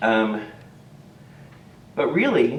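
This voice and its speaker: A man's voice with audible room echo. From Texas. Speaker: charity volunteer and hairdresser. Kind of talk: talk to church congregation. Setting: church service.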